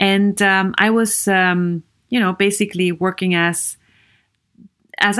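Speaking at a fairly slow pace with an Austrian accent, the voice comes through a very clean recording with a silent background. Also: woman. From Vienna, Austria. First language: German. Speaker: podcast host and psychologist. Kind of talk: solo podcast monologue.

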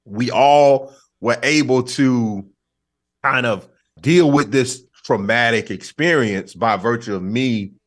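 With an American accent, a man talks in an unremarkable speaking voice, medium in pitch with ordinary pitch variation. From US South. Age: 40s. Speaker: comedian. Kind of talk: casual chat.

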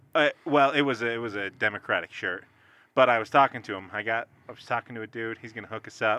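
A man with a bright, sharp tone talks at a very fast pace with big swings in loudness, the sound dry and close with no echo against a quiet background. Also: medium pitch for a man, fairly even intonation. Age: 30s. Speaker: political activist. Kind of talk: casual chat.

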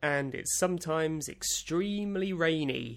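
A man speaks at a fairly slow pace in a high voice with lively intonation. The recording is very clean, with a silent background. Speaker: podcast co-host. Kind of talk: casual chat.

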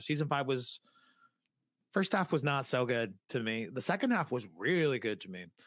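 Speaking fairly quickly in a normal speaking voice, a man with an American accent has medium pitch and lively intonation, captured in a very clean recording with a silent background. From New England, US (Massachusetts / Rhode Island). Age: 30s. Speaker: podcaster. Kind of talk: casual interview chat.

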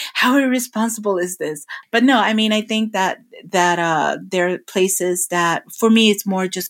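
On a very clean recording with a silent background, a woman talks in an unremarkable speaking voice at a medium pitch. She keeps a moderate pace and lively intonation. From New York City, Brooklyn. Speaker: travel blogger. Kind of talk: interview.

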